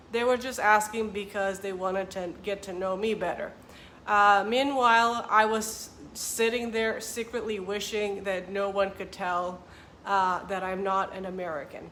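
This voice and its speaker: A woman's bright, sharp, medium-pitched voice with a Romanian accent, fairly slow and fairly even, in audible room echo. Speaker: vlogger and author. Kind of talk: casual vlog talk to camera.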